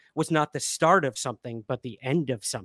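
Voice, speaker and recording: An unremarkable speaking voice moves at a moderate pace with ordinary pitch variation, in a very clean recording with a silent background and a dry, close sound with no echo. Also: man. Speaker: podcast host. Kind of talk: casual interview chat.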